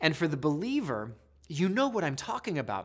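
In a very clean recording with a silent background, a man with a normal speaking voice talks at a fairly quick pace with a fairly high pitch. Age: 40s. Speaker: Bible study teacher. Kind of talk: Bible study teaching. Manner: casual, with many fillers.

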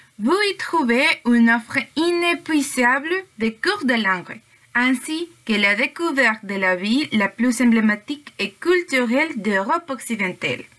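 A woman speaks fairly slowly in a high pitch, her voice making very wide pitch swings. Background noise is noticeable. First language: Spanish (speaking French). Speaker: language student, podcast co-host. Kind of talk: student podcast presentation, partly read.

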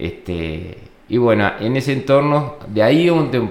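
Noticeable background noise sits behind a man speaking with a Uruguayan accent. His intonation is lively and his pace fairly slow. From Uruguay, Florida. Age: 40s. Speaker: viticulture agronomist. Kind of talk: interview. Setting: winery premises. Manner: halting, many repetitions and fillers.

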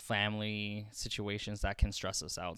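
On a very clean recording with a silent background, a man with an ordinary speaking voice talks at a moderate pace. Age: 20s. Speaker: massage therapy student. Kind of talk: casual chat.

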